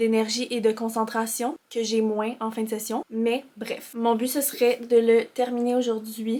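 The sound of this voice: The speaker's slightly mellow tone shows little pitch movement. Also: woman.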